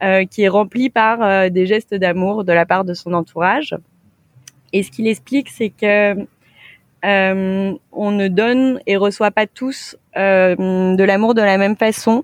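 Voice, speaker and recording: A woman talks at a very slow pace with fairly even intonation. The sound is dry and close, with no echo. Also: medium pitch for a woman. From France, Saint-Étienne. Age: 30s. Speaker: co-founder of a premarital preparation service. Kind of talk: interview.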